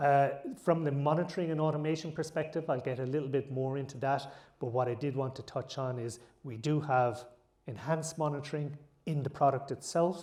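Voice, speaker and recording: In an Irish accent, a man speaks at a fairly quick pace with a fairly high pitch, a dark, mellow tone and fairly even intonation, with audible room echo around him. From Ireland. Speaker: tech conference speaker. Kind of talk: conference talk.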